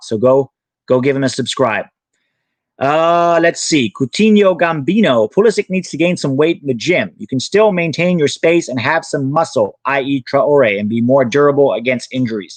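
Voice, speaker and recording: Speech moves at a moderate pace with lively intonation. The speaker has an American accent. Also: man. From Thailand, American parents. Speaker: soccer youtuber and former coach. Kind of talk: live stream Q&A. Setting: live stream.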